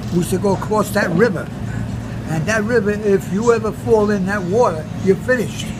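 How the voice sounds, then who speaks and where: A man speaks at a fairly quick pace. Noticeable background noise runs under his voice. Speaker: war veteran. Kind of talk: interview answer. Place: cafe. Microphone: phone near.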